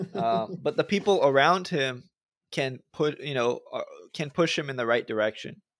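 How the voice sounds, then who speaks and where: This is an unremarkable speaking voice with an American accent. The pace is moderate and the intonation lively. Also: man, fairly high pitch for a man, very clean recording, silent background. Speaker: podcast co-host. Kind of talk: casual interview conversation.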